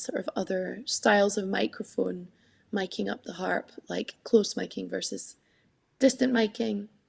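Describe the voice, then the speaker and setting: A woman talks at a moderate pace with a Scottish accent. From Scotland, Scottish Borders (Peebles). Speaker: harpist and singer. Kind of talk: interview. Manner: talkative, hesitant with fillers.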